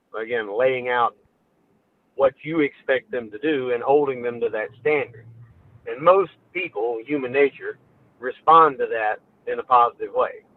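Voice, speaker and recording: Speaking at a moderate pace with long, frequent pauses, a man talks in a Memphis accent. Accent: US Southern (Memphis). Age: 30s. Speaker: towing business owner. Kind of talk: podcast interview.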